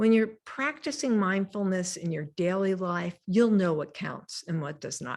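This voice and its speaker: A woman speaks with lively intonation at a medium pitch, in an ordinary speaking voice. The recording is very clean, with a silent background. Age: 60s. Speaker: mindfulness teacher. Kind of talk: lecture.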